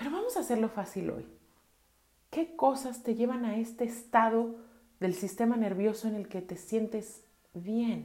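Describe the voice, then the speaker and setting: In a calm tone, a woman with a fairly high pitch and a somewhat breathy voice uses ordinary pitch variation and long, frequent pauses, with audible room echo. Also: fairly slow pace. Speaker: podcast host and therapist. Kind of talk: solo podcast talk. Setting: home bathroom.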